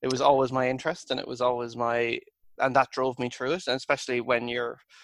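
A man with an Irish accent, monotone and flat in intonation, at a fairly quick pace, in a dry, close sound with no echo. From Ireland. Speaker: engineer. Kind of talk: casual chat.

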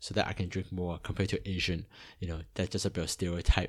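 Over a very clean recording with a silent background, a man speaks with a very deep, low pitch and a monotone, flat intonation. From Hong Kong, then Toronto area, Canada from age eight. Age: 40s. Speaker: missionary and podcast host. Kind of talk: personal testimony. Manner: hesitant with many fillers.

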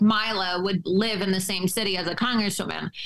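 This woman's medium-pitched voice is a plain, everyday voice. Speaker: journalist and political commentator. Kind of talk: political interview.

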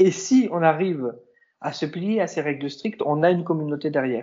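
A fairly high-pitched man talks at a moderate pace with ordinary pitch variation. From southern France. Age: 20s. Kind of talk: interview.

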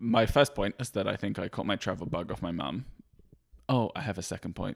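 Vocal fry runs through this voice as it moves at a fairly quick pace. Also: man. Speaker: podcast guest, husband of the host. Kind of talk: casual chat. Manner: animated, joking.

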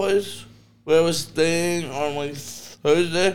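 A man speaks very slowly. His voice is high, with ordinary pitch variation. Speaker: stand-up comedian. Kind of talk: casual chat. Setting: studio.

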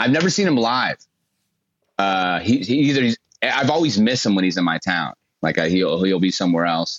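Talking at a fairly quick pace with lively intonation, a man uses an ordinary speaking voice at a fairly low pitch and very even loudness. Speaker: comedian. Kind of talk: comedy interview chat.

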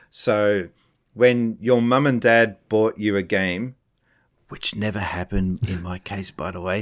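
On a very clean recording with a silent background, a man with an Australian accent talks at a fairly slow pace and a fairly low pitch, with fairly even intonation and big swings in loudness. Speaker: former games company employee and streamer. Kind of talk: casual interview chat.

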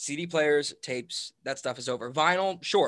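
The voice has a bright, sharp tone and ordinary pitch variation, recorded dry and close with no echo in a very clean recording with a silent background. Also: man. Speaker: drummer and bandleader. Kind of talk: casual chat. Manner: casual, laughs often.

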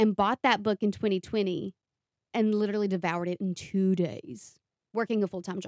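A woman speaks fairly quickly with a strong Appalachian accent, a medium pitch and ordinary pitch variation. The sound is dry and close with no echo, on a very clean recording with a silent background. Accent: Appalachian, thick. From Eastern Kentucky. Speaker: podcast co-host and author. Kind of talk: casual interview chat, being interviewed.

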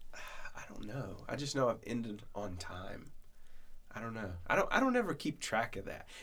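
Here is a man with an ordinary speaking voice at medium pitch. His intonation is lively and his pace moderate. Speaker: podcast host, church minister. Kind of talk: casual chat, podcast.

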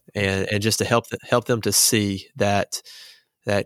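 This man has a Southern US accent and a fairly low pitch, speaking at a moderate pace in a flat, monotone way. The recording is very clean, with a silent background and a dry, close sound with no echo. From small-town Arkansas. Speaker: student pastor. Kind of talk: casual chat.

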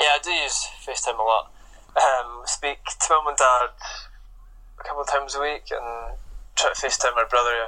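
The man leaves long, frequent pauses. Between them, his pace is moderate. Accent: Scottish Highland. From Scotland, Inverness. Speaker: professional footballer. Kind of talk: interview.

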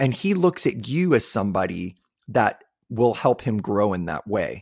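A man at medium pitch and moderate pace, with very wide pitch swings, recorded very cleanly against a silent background with a dry, close sound and no echo. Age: 50s. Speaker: podcast host. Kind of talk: casual chat.

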